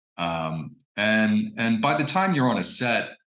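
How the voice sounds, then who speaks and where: A man with an American accent speaks at a fairly low pitch with lively intonation. Room echo is audible. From US Midwest (Indiana). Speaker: actor and fine artist. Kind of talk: interview. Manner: hesitant, many fillers and repetitions.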